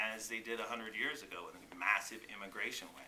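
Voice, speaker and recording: A man speaks at a fairly quick pace in a monotone, flat intonation. Noticeable background noise and audible room echo are present. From South Texas border (Rio Grande Valley). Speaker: congressional candidate. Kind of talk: petition delivery testimony.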